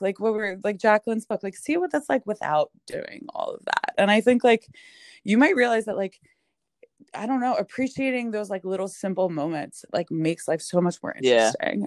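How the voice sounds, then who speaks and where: A woman in a New York accent speaks with very wide pitch swings, the sound dry and close with no echo. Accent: Staten Island, New York. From Staten Island, New York. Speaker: podcast guest, chronic illness writer. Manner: fast talker; casual, heavy use of "like".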